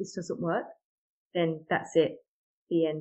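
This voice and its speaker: Her intonation fairly even, a woman speaks with a British accent. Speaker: mother sharing miscarriage story. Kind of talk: interview testimony.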